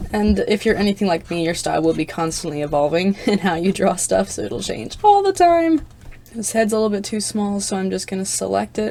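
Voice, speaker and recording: Speech from a woman moves at a fairly quick pace. Background noise is noticeable behind her. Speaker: digital artist. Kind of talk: drawing tutorial narration. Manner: rambling, unscripted.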